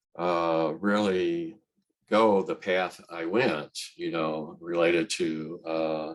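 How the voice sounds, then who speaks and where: Fairly even in intonation, a man speaks with a very deep, low pitch and a Midwestern American accent. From central Illinois. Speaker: transportation engineer and poet. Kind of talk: interview answer. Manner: soft-spoken, clear.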